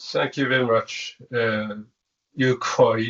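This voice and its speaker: A man at a very slow pace with a non-native accent. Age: 70s. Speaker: professor. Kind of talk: lecture. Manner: halting.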